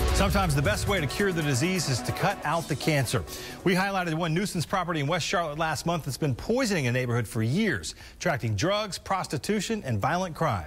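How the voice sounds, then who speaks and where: Very fast speech with lively intonation and very even loudness plays over background music. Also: man, fairly high pitch for a man. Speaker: television news reporter. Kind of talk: TV news report, live reporting. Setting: recorded field news package with narration.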